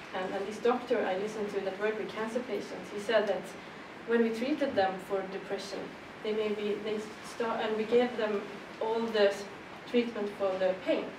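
Over noticeable background noise, a woman with a Swedish accent talks at a moderate pace and fairly high pitch with fairly even intonation. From Sweden. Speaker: politician. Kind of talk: panel discussion. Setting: stage with audience. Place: meeting room. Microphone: camera far.

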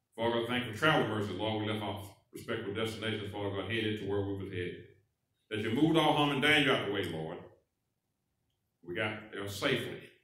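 In a quiet background with audible room echo, a man talks very fast at a fairly low pitch with ordinary pitch variation. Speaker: minister leading prayer. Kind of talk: public prayer. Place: church.

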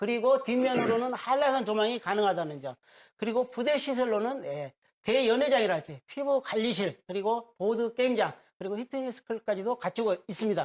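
Delivery is at a fairly quick pace. Nothing sits behind it, as the background is silent in a very clean recording. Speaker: real estate consultant. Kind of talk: broadcast property pitch. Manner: rising pitch when enthusiastic.

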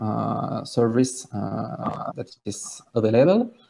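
A man's dark, mellow voice with vocal fry. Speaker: conference presenter. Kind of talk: technical talk. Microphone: webcam.

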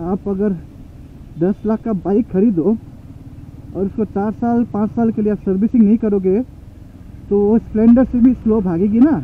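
Speaking at a fairly slow pace with long, frequent pauses, a man uses a high pitch, the sound dry with no echo and light noise behind him. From India. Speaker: motovlogger. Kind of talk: vlog narration while riding. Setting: on a motorcycle in traffic. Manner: casual, animated. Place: motorbike. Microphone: helmet.

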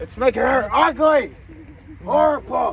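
A man shouts in a put-on character voice at an extremely high pitch, at a moderate pace. Clear background noise is present. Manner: shouting, ranting.

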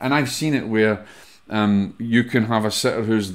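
A man with a Scottish accent and fairly even intonation. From Scotland. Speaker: podcast host and medium; podcast host. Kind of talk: solo podcast talk, teaching. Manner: casual, conversational with fillers. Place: home room. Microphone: studio mic.

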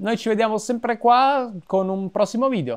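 A man speaks against a quiet background. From Italy. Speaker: YouTuber and film director; YouTuber. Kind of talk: vlog monologue. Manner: halting with frequent repetitions. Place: home room. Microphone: lapel.

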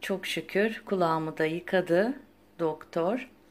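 A very clean recording with a silent background, and the speech has ordinary pitch variation. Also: woman. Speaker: lifestyle vlogger. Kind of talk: casual vlog chat.

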